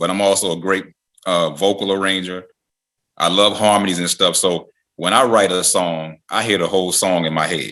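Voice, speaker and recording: The background is quiet. A man speaks at a fairly low pitch with a bright, sharp tone. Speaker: music producer and songwriter. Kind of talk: podcast interview.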